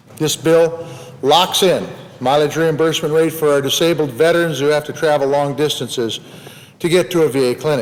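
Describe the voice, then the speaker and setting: A man with an American accent and fairly high pitch, talking at a fairly quick pace with fairly even intonation amid noticeable background noise. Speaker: U.S. senator. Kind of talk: Senate floor speech.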